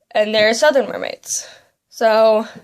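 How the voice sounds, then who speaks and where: This is an ordinary speaking voice with an American accent. The intonation stays fairly even. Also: woman. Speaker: beauty vlogger. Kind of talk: makeup tutorial. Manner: casual, filler-heavy.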